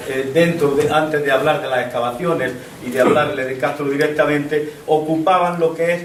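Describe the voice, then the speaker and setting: Amid noticeable background noise and audible room echo, a man talks at a fairly quick pace in a fairly high pitch with fairly even intonation. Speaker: local history speaker on archaeology. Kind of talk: public talk to an audience. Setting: hall with audience, microphone. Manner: halting.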